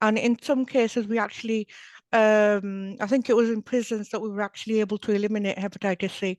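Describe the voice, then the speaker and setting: A woman talks at a very fast pace. Her fairly high voice keeps a monotone, flat intonation. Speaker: hepatitis community project coordinator. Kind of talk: panel discussion. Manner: slurring slightly.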